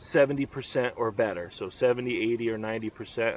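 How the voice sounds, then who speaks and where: This man has a medium pitch. His intonation is fairly even. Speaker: outdoors vlogger. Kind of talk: casual tutorial. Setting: outdoors at campsite. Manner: loud.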